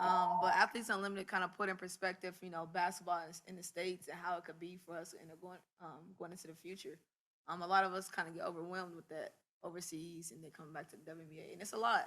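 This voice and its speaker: Soft-spoken and very fast, a woman talks with fairly even intonation but big swings in loudness. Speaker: professional basketball player. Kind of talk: press conference.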